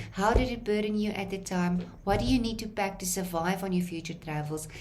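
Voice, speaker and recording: A woman with a fairly low voice talks at a moderate pace. There is audible room echo along with noticeable background noise. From South Africa. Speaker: lecturer. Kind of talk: lecture. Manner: halting.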